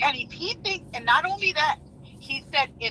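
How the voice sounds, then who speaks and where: Amid noticeable background noise, a woman speaks with very wide pitch swings. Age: 60s. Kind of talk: heated debate. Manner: animated, emphatic.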